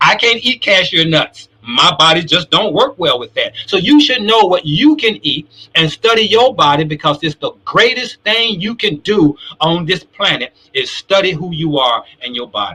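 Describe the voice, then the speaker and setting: With a bright, sharp tone and a raised, projected voice, a high-pitched man talks at a moderate pace in an animated way, his pitch swinging very widely and hardly any pauses breaking his speech. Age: 60s. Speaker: talk show host. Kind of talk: live show discussion.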